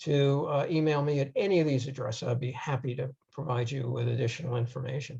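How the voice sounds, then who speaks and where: A somewhat breathy man with an American accent. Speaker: audiologist and researcher. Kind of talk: lecture. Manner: hesitant with fillers.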